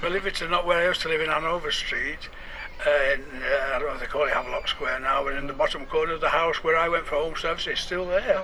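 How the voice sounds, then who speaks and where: A man's very fast speech in a strong Yorkshire accent, with noticeable background noise. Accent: thick Yorkshire. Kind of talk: radio interview answer.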